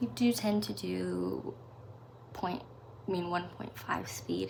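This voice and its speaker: Very slowly, a speaker with an American accent talks while noticeable noise runs in the background. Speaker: reaction youtuber. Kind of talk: casual chat. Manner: rambling, fillers.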